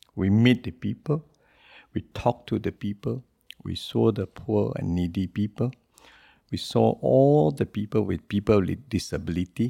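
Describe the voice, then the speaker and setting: In a strong Singaporean accent, a man with a very deep, low pitch and a dark, mellow tone speaks at a moderate pace with very wide pitch swings, the recording very clean, dry and close with a silent background and no echo. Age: 60s. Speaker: businessman and presidential hopeful. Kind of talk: podcast interview. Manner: informal, non-standard grammar.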